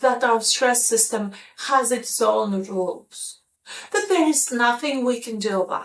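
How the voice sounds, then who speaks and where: A woman speaks very slowly in a high pitch. Her pitch swings very widely. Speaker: corporate well-being coach and speaker. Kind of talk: casual talk to camera.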